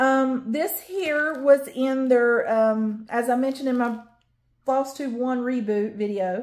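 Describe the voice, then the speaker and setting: A woman with a Southern US accent, high pitch and ordinary pitch variation, on a very clean recording with a silent background. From North Carolina, US South. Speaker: cross-stitch YouTuber. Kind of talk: casual show-and-tell haul video. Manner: rambling with fillers.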